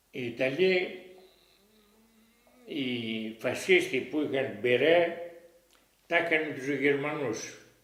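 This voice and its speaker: Amid audible room echo, a man with a fairly high pitch and ordinary pitch variation speaks at a very slow pace, leaving long, frequent pauses. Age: 80s+. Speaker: war witness. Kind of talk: oral history interview. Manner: halting.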